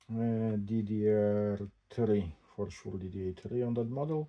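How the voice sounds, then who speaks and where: With a non-native accent, a man speaks very slowly at a fairly low pitch. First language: not English. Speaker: tech unboxing vlogger. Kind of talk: casual unboxing commentary. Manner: halting.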